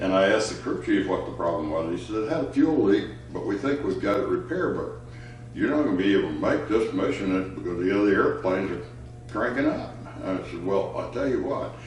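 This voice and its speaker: Audible room echo fills the space. Within it, a man speaks at a fairly quick pace. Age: 80s+. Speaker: retired fighter pilot, veteran. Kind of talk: personal storytelling interview. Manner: halting, with frequent fillers.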